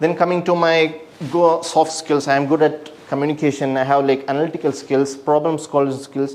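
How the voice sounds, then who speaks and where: A man with a Keralan accent, fairly high-pitched and flat in a monotone, amid noticeable background noise. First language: Malayalam. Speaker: structural engineer. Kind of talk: self-presentation, portfolio walkthrough. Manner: halting.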